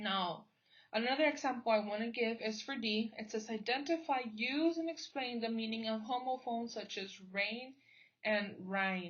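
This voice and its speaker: An American accent, ordinary pitch variation, a somewhat breathy quality and a moderate pace. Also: woman, fairly high pitch for a woman. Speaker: teacher and graduate student. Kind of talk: training presentation. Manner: hesitant with fillers.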